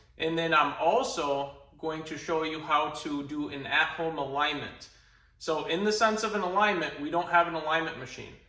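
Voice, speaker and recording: At a moderate pace, a man with a Minnesotan accent and a fairly high pitch speaks with ordinary pitch variation amid noticeable background noise and audible room echo. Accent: Minnesota. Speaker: car enthusiast YouTuber. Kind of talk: DIY tutorial. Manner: animated.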